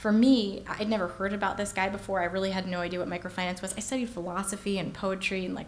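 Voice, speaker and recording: Over noticeable background noise and audible room echo, a woman talks at a very fast pace with medium pitch and fairly even intonation. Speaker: keynote speaker. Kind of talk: keynote speech.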